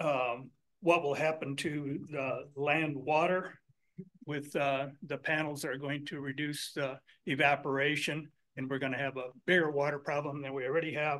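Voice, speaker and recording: This man has a bright, sharp tone and a fairly high pitch. He talks at a moderate pace with a monotone, flat intonation. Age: 70s. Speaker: local resident speaking at public comment. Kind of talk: public comment at county meeting. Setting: county commission meeting room. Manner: halting.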